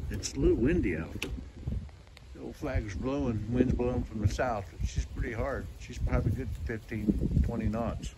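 A man takes a fairly slow pace as loud noise carries on behind him. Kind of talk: casual vlog chat. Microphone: phone near.

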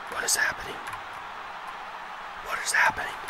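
Loud noise sits in the background. A man speaks fairly quickly. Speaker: let's play gamer. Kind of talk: gaming commentary. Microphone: studio mic.

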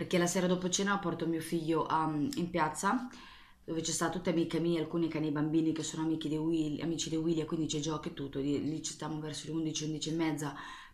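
A woman talks at a very fast pace with a very deep, low pitch and fairly even intonation. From Marche, Italy (Ancona); Marche, Italy. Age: 20s. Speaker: YouTuber, nail art and makeup creator; YouTuber, makeup creator. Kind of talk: casual Q&A vlog. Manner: rambling, hesitant with fillers. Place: bathroom. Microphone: webcam.

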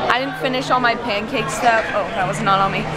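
Over crowd noise in the background, a woman talks at a very fast pace with ordinary pitch variation. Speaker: vlogger. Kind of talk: casual vlog chat. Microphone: phone near.

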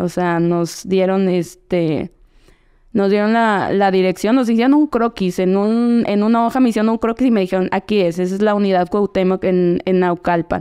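Speaking at a moderate pace over a quiet background, a woman has a medium pitch, very even loudness and a dark, mellow tone. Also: ordinary pitch variation. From central Mexico, State of Mexico. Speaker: professional footballer; podcast guest. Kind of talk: casual interview. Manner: hesitant, many fillers and repetitions. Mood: relaxed, reflective. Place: studio. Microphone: studio mic.

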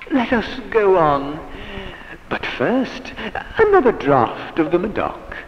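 Here a man speaks at a very slow pace. Noticeable background noise can be heard. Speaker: professional voice actor and sound engineer. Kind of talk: vintage radio-drama style audiobook narration of a horror story.

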